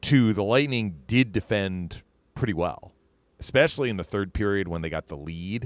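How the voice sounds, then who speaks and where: Recorded with a dry, close sound and no echo, a man talks at a moderate pace with lively intonation. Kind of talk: live play-by-play commentary (replayed clip).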